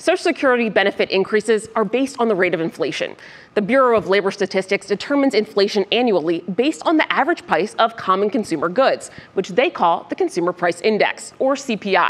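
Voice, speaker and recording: At a very fast pace, a woman speaks with lively intonation. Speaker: news presenter. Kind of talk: news fact-check presentation. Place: studio. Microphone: lapel.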